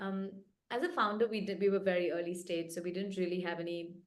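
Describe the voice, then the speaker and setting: A woman at a very fast pace and fairly low pitch, amid audible room echo. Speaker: venture capital investor. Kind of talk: interview.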